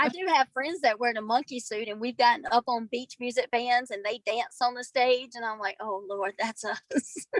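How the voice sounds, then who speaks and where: Over music in the background, a woman with a Southern US accent talks at a moderate pace and high pitch, with ordinary pitch variation and hardly any pauses. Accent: Southern American. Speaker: scleroderma patient. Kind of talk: casual chat.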